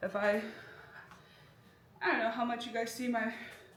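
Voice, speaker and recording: With an American accent, a woman talks amid audible room echo. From US Midwest. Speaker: vlogger and nurse. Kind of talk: casual vlog. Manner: fast.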